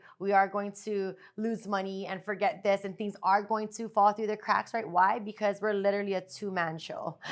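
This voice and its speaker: In a very clean recording with a silent background, a woman talks in a monotone, flat intonation with hardly any pauses. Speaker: podcast co-host, therapist. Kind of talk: casual chat. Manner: fast.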